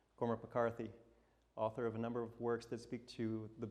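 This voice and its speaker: Brisk-ish male delivery at a mid-range pitch, in an American accent. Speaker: portrait photographer giving a talk. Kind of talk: talk to a live audience. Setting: stage with audience. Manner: fast.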